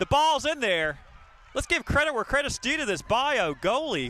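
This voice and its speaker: At a fairly quick pace, a man uses a raised, projected voice, extremely high in pitch and bright and sharp in tone. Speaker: sports commentator. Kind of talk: live commentary. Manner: loud; animated.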